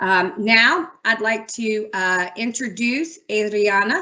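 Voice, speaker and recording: With lively intonation, a woman talks in an ordinary speaking voice at a fairly high pitch. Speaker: city transportation director. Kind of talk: public meeting opening remarks.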